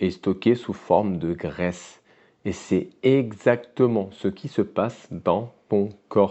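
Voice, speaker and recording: Very slow pace, ordinary pitch variation and a fairly low pitch in a man's voice. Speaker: weight loss coach. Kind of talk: educational monologue to camera. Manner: casual, direct address.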